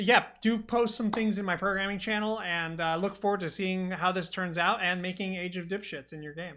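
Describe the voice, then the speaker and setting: A woman talks loudly at a fairly quick pace with hardly any pauses. Her voice sits at a medium pitch with fairly even intonation. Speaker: podcast host. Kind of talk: casual chat. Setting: live stream. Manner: clear enunciation.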